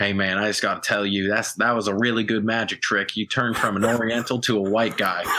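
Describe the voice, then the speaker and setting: In a put-on character voice with a strong Southern accent, a man talks at a very fast pace, his fairly low voice raspy. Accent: thick southern. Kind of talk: casual, folksy.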